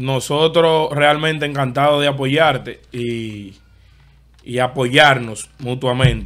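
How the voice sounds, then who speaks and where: A man at a very slow pace, fairly even in intonation, against a quiet background. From Dominican Republic. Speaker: podcast host. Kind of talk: casual interview chat. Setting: studio. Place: studio. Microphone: studio mic.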